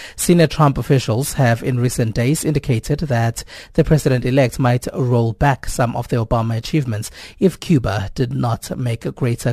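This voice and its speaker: A man talks at a moderate pace and medium pitch with ordinary pitch variation. His tone is dark, mellow and somewhat breathy, and the sound is dry and close with no echo. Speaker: radio news presenter. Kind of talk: news broadcast. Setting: studio.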